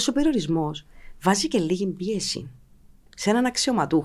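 A woman's medium-pitched voice with very wide pitch swings, a moderate pace, long and frequent pauses, and a quiet background. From Cyprus (Limassol); Cyprus. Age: 40s. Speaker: politician and former TV journalist; politician, former TV journalist. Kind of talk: political interview. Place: studio. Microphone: studio mic.

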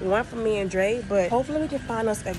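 Noticeable background noise sits behind this woman's voice. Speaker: vlogger. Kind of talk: casual vlog chat. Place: shop. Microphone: phone near.

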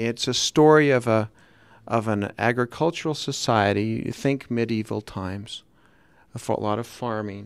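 A man talks with a Utah accent. His pace is fairly slow. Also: ordinary pitch variation, dry sound with no echo. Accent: Utah American English. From Salt Lake City, Utah. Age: 50s. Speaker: author; guest. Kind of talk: radio interview. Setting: radio studio. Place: studio. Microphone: studio mic.

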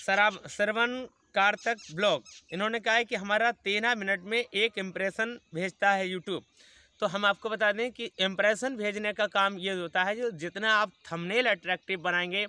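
With a raised, projected voice and a bright, sharp tone, a man speaks at a fairly slow pace. His intonation is fairly even, and the sound is dry with no echo. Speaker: vlogger. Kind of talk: casual vlog chat, answering viewer comments. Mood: friendly, encouraging. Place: open country.

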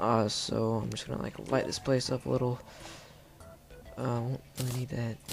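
The speaker keeps a moderate pace with long, frequent pauses while music plays in the background. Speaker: gaming youtuber. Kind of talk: gameplay commentary. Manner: casual, hesitant with fillers.

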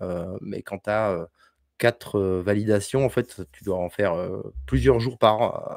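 A man with a plain, everyday voice talks at a fairly slow pace, his fairly low pitch showing ordinary variation, in a dry sound with no echo against a quiet background. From France, Bordeaux; France. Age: 40s. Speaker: homesteading content creator. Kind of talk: casual chat. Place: home room. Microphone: studio mic.

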